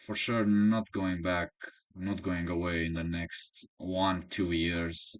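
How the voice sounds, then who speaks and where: Here a man speaks in a Romanian accent. His pitch is very deep and low, and his pace very slow. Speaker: chess coach and YouTuber. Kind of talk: casual monologue. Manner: halting.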